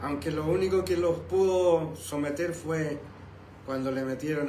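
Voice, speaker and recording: A man talks fairly slowly, his pitch varying in an ordinary way, while room echo can be heard. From Chile. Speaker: pastor. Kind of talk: sermon. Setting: live stream from home and church.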